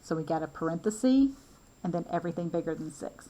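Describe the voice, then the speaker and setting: The speaker has a Southern accent and moves at a fairly quick pace. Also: woman. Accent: southern lilt. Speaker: math instructor. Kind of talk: lecture. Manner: casual, conversational.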